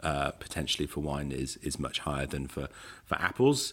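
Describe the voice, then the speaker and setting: The voice carries vocal fry in a very clean recording with a silent background. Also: man. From Gloucestershire, England (near Herefordshire border). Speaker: cider expert. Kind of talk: casual interview. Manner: hesitant with frequent repetitions.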